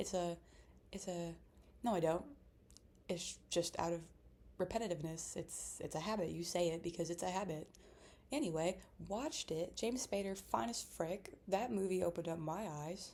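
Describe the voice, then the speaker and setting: The voice has a dark, mellow tone and vocal fry, with ordinary pitch variation. It moves at a moderate pace, broken by long, frequent pauses. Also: woman, fairly low pitch for a woman. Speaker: vlogger. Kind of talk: casual chat. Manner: stuttering at times; animated.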